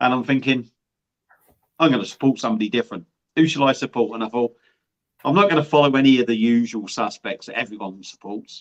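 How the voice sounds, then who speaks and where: A man at a very fast pace with long, frequent pauses, medium pitch and ordinary pitch variation, in a dry, close sound with no echo. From Surrey, southern England. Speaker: beer reviewer. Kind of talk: casual chat. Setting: live stream.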